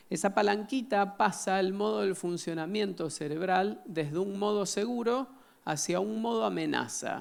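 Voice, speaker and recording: There's audible room echo as a man speaks at a fairly slow pace in a high pitch. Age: 40s. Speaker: psychiatrist giving a conference talk. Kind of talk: lecture.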